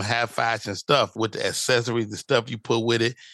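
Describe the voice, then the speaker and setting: Against a quiet background, a man with an American accent talks at a fairly quick pace, his medium-pitched voice bright and sharp in tone. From Chicago. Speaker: stand-up comedian. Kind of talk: casual interview chat.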